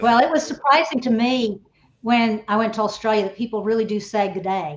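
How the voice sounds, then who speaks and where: Woman with a Texan accent, fairly high pitch, ordinary pitch variation and a fairly quick pace. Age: old. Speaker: reality TV contestant. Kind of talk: casual chat.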